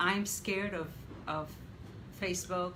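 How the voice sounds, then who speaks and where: There is audible room echo around the voice. A woman speaks with fairly even intonation. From Mexico. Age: 70s. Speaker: interviewee, mother of host. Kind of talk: interview.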